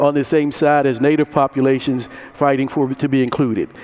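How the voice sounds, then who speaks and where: A man with an American accent and a fairly high pitch speaks at a moderate pace in monotone, flat intonation, with noticeable background noise. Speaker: conference moderator. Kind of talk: conference talk to audience. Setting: conference room with audience.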